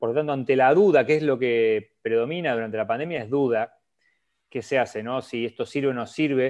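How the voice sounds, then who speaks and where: Over a quiet background, a man with a plain, everyday voice talks at a fairly quick pace, with a medium pitch and ordinary pitch variation. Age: 30s. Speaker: cardiologist. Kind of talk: interview. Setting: live stream.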